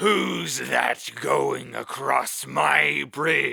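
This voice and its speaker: A man speaks in a raspy, put-on character voice. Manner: terrible, enraged.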